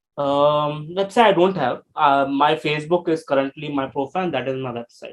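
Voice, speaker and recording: A man speaks with an Indian accent. His pitch sits fairly high. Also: ordinary pitch variation, moderate pace. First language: Hindi. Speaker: life coach. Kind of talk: interview. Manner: halting.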